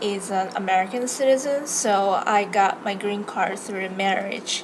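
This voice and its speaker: A woman's medium-pitched voice in a Japanese accent, with lively intonation at a very slow pace, amid noticeable background noise and audible room echo. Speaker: law student and vlogger. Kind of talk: casual vlog introduction. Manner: hesitant, many fillers.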